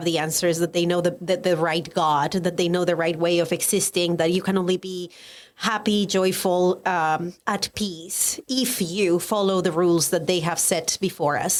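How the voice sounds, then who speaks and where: Speaking at a moderate pace with fairly even intonation, a woman with a Colombian accent has a fairly low pitch. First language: Spanish. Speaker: educator and writer, former pastor. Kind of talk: podcast interview.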